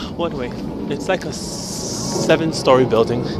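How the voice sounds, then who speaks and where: A man talks at a moderate pace. Music plays behind him, and the sound is dry with no echo. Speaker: vlogger. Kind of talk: casual vlog chat. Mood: relaxed, chatty. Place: street. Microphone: phone near.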